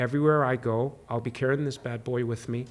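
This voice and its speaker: A man with a medium pitch speaks in monotone, flat intonation at a moderate pace. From UAE, Abu Dhabi. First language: Arabic. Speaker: actor. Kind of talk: interview.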